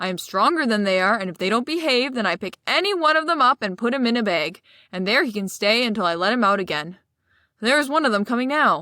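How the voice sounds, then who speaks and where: Very fast and gruff, a woman does a put-on character voice at a fairly high pitch in a very clean recording with a silent background. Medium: read story. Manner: gruff, rough-spoken.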